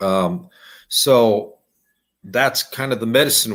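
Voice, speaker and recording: A man talks in an unremarkable speaking voice with an American accent, medium in pitch with ordinary pitch variation. The recording is very clean, with a silent background. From Standing Rock Sioux Reservation, USA. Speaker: Lakota storyteller and language instructor. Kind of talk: interview answer.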